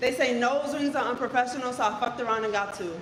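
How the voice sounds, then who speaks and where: Very fast speech amid audible room echo and noticeable background noise. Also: woman. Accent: American. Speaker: poet, psychologist. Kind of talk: spoken word performance.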